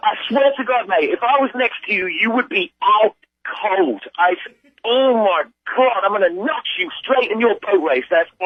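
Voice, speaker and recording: In a British accent, the speaker sounds angry, using lively intonation at a moderate pace. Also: man, high pitch for a man. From Britain. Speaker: prank call victim. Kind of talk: phone call argument. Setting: phone call. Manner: angry, shouting.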